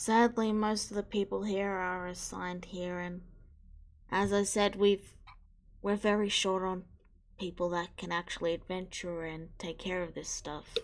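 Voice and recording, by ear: Her voice fairly low in pitch, a woman speaks fairly slowly with little pitch movement.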